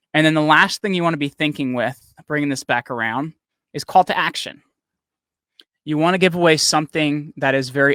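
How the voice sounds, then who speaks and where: At a fairly quick pace, a man talks with a fairly high pitch, a bright, sharp tone and ordinary pitch variation. The recording is very clean with a silent background, and the sound is dry and close with no echo. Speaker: company CEO and podcast coach. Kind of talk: live training talk. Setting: livestream. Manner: fast; casual, energetic.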